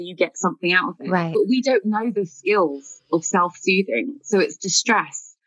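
The voice is somewhat breathy. It carries a British accent. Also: woman. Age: 30s. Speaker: writer sharing mental health experience. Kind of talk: interview.

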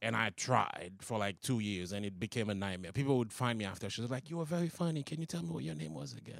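Talking at a very fast pace with hardly any pauses, a man uses fairly low pitch. His pitch swings very widely. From Haiti. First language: Haitian Creole or French. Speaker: comedian. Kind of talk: casual chat.

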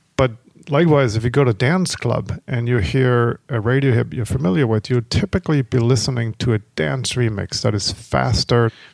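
At a moderate pace with hardly any pauses, a man in an ordinary speaking voice talks at medium pitch with ordinary pitch variation, on a very clean recording with a silent background and a dry, close sound with no echo. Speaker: tech entrepreneur and startup co-founder. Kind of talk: interview.

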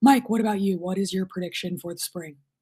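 At a very fast pace, a woman speaks in a dark, mellow, somewhat breathy voice of medium pitch with ordinary pitch variation. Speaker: sports journalist and show host. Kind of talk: casual chat. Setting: video call.

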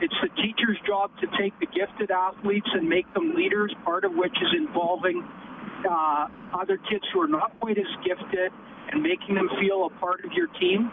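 Someone with a Canadian accent speaks at a moderate pace against noticeable background noise. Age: 50s. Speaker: teacher. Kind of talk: call-in radio talk. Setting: phone call. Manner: animated.

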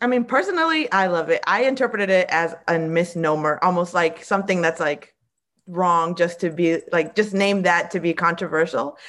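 A woman speaks at a moderate pace and a fairly low pitch. Her loudness stays very even, and her pitch varies in an ordinary way. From Springfield, Massachusetts (Puerto Rican family). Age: 30s. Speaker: drag performer. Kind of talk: casual chat.

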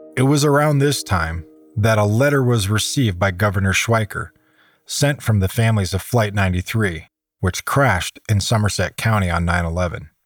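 A man with an American accent speaks in an ordinary speaking voice, fairly low in pitch with ordinary pitch variation, at a moderate pace. His loudness stays very even on a very clean recording with a silent background. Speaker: podcast host and narrator, survival expert. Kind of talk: scripted narration.

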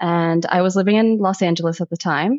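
A woman talks at a moderate pace with fairly even intonation. She uses a normal speaking voice. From US, Egyptian-American household. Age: 30s. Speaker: sound healer and photographer. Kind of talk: casual interview chat.

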